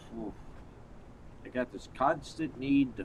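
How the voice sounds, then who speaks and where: A man at a fairly high pitch and a very slow pace. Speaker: vtuber game streamer. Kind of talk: live gaming stream commentary. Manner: halting, many fillers and restarts.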